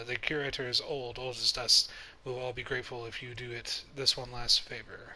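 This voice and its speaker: A man uses a put-on character voice, raspy and medium-pitched, at a fairly quick pace with monotone, flat intonation. Light background noise sits behind him. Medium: game stream.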